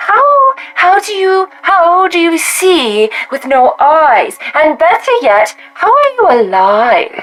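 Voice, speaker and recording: A woman's put-on character voice at an extremely high pitch, very slow pace and very wide pitch swings. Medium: actual play.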